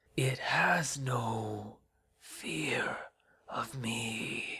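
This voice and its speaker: A put-on character voice, whispering, hoarse and raspy. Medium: read story. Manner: whispering, breathy, eerie.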